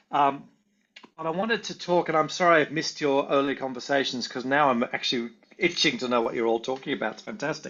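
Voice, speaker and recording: Talking at a very fast pace, a man with an Australian accent uses lively intonation and a fairly high pitch. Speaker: volunteering researcher and consultant. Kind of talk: online presentation.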